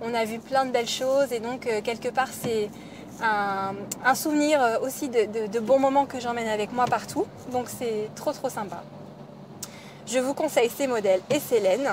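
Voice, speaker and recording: A woman's high-pitched voice at a fairly slow pace, with ordinary pitch variation, long and frequent pauses, and noticeable background noise. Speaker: knitting podcaster. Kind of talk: casual podcast talk.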